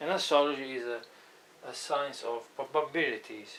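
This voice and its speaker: A man with a non-native accent and a fairly high pitch, speaking at a moderate pace amid audible room echo. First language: not English. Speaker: astrologer. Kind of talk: lecture. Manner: halting.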